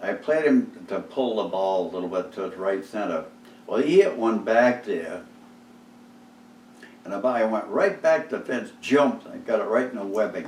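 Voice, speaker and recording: A man with an eastern New England accent, big swings in loudness and a moderate pace, amid audible room echo. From Cape Cod, Massachusetts. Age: 80s+. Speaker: oral history interviewee. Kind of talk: oral history interview storytelling. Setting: living room. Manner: animated.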